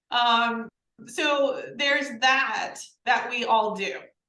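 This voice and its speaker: A woman with a slight Southern US accent and ordinary pitch variation, in audible room echo. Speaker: podcast co-host, learning program creator. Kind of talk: casual conversation.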